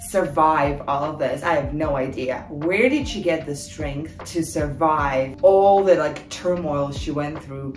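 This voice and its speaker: Over faint music in the background and audible room echo, a woman speaks at a fairly slow pace. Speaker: video creator. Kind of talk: casual vlog chat. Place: home room. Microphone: camera far.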